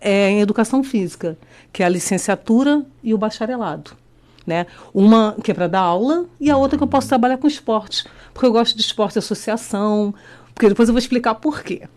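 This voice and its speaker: A woman talks at a fairly quick pace in a Rio de Janeiro accent, with lively intonation. The background is quiet. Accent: Rio de Janeiro (carioca) accent, kept. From Rio de Janeiro, Brazil. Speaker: teacher and candidate for child protection council. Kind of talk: radio interview. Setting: radio studio. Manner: halting.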